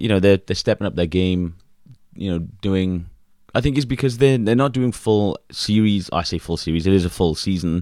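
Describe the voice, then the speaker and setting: At a moderate pace and with ordinary pitch variation, a dark, mellow voice speaks in a British accent on a very clean recording with a silent background. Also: man, very deep, low pitch for a man. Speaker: podcast co-host. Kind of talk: casual chat.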